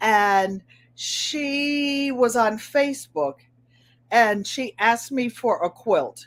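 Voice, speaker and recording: A woman with a New England accent speaks in a fairly high pitch with lively intonation. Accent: New England twang. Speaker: craft video host. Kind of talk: casual chat. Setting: live stream.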